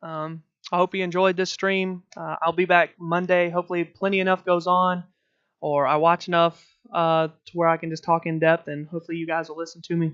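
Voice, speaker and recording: At a fairly quick pace, a man talks in a high pitch. His intonation is monotone and flat. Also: big swings in loudness, dry, close sound with no echo. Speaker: sports podcast host. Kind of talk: sports talk livestream. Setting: home livestream. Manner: fast; hesitant, many filler words.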